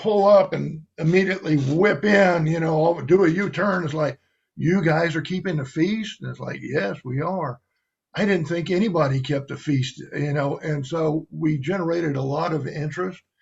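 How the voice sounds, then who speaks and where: At a moderate pace, a man speaks in a plain, everyday voice, fairly high in pitch, with fairly even intonation. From US South, Cajun south Louisiana. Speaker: religious guest. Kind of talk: testimony.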